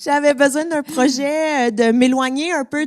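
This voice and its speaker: A woman speaks with a Quebec accent. Noticeable background noise runs behind her. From Quebec, Montreal. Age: 30s. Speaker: podcast host and comedian. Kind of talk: casual chat before a live audience. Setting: stage with audience.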